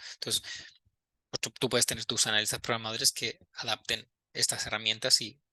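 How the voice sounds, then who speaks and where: The man's voice has a bright, sharp tone. The sound is dry and close, with no echo. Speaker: university lecturer. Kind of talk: lecture. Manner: casual, conversational with frequent fillers.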